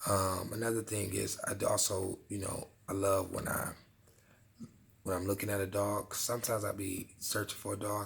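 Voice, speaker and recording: A man talks at a moderate pace in a fairly low, somewhat breathy voice. His intonation stays flat and monotone. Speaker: dog vlogger. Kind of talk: casual vlog talk. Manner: laid back.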